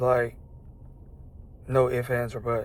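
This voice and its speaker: A man speaks at medium pitch. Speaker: vlogger. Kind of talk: casual monologue to camera. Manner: casual, hesitant with fillers.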